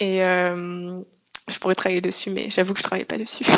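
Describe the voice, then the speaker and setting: The woman speaks at a medium pitch. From France. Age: 20s. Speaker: expatriate interviewee. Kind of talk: podcast interview testimony. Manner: hesitant, many fillers.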